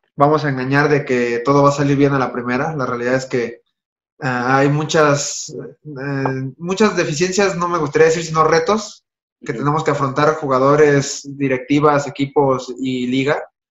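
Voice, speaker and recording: A man talks at a fairly slow pace. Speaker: remote guest. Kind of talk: interview answer. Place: home room. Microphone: video call.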